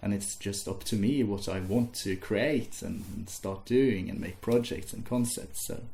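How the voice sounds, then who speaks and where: A man with a Norwegian accent speaks at a fairly slow pace with hardly any pauses, ordinary pitch variation, a somewhat breathy quality and audible room echo. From Norway. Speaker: music student. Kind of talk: casual interview. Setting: interviewer's house. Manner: slow-paced in English; hesitant, with fillers and repeats.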